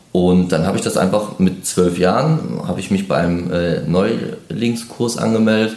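A man's fairly low voice at a moderate pace, ordinary pitch variation, noticeable background noise and audible room echo. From northeastern Germany (Mecklenburg-Vorpommern). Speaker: football referee. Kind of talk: interview.

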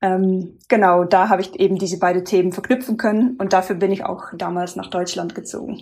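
The delivery runs at a fairly quick pace with hardly any pauses. Intonation stays fairly even throughout. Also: woman, medium pitch for a woman. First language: not German (speaking German). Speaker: sustainability consultant, former penetration tester. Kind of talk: interview. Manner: hesitant, many filler sounds.

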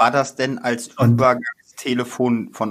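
This is a man at a medium pitch. He has an ordinary speaking voice. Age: 40s. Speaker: podcast co-host. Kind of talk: casual chat.

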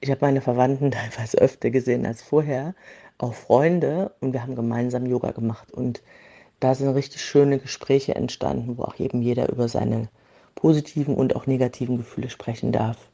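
A dark, mellow tone at a fairly quick pace. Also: woman, very deep, low pitch for a woman. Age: 40s. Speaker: yoga teacher. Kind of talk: voice message.

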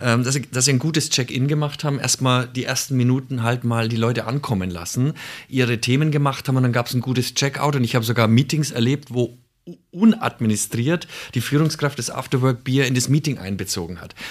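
A man talks at a fairly quick pace with a medium pitch and ordinary pitch variation. The recording is very clean, with a silent background. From Nuremberg, Franconia (Bavaria). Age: 50s. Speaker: former bank executive, self-employed leadership consultant. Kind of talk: casual chat. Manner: halting, many fillers and restarts.

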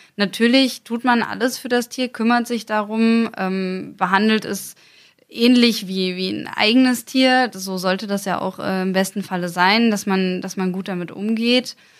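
Recorded very cleanly against a silent background, this woman has an ordinary speaking voice. Her pitch is medium and her intonation fairly even. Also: fairly slow pace. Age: 20s. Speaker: mounted federal police officer. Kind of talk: interview.

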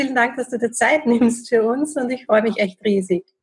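Over music in the background, a woman speaks with a high pitch. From Austria, Vienna. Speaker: podcast host, interviewer. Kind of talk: interview.

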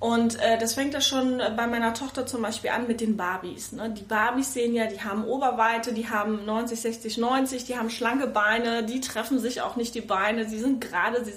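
A woman in monotone, flat intonation with hardly any pauses, amid noticeable background noise and audible room echo. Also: fairly high pitch for a woman, moderate pace. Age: 30s. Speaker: mother of two. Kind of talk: casual interview. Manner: hesitant, many fillers.

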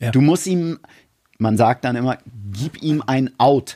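Dark and mellow in tone, a man speaks at a moderate pace, recorded dry and close with no echo against a silent background on a very clean recording. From Germany, Hamburg. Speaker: wrestling commentator and TV producer. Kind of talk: casual chat.

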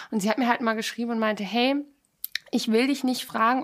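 With an ordinary speaking voice, a woman talks at a fairly high pitch with fairly even intonation. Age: 20s. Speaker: podcast co-host, former model contestant and animal rescue activist. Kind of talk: casual chat.

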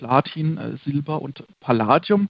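A man speaks with a fairly high pitch. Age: 30s. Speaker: managing director of a fund and gold trading firm. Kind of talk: interview.

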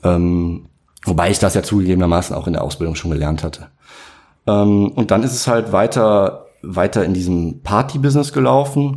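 This man has an unremarkable speaking voice with a fairly low pitch. He moves at a moderate pace with lively intonation. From Aachen area, Germany. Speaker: entrepreneur, online shop managing director. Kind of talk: casual interview chat.

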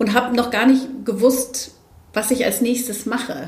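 There is audible room echo. A woman talks at a fairly slow pace. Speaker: diversity expert and speaker. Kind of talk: interview. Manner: hesitant, many fillers.

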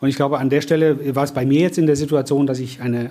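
A man's dark, mellow tone at a fairly high pitch. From Cologne, Germany. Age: 50s. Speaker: franchise business owner, former corporate manager. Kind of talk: interview. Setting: coworking office.

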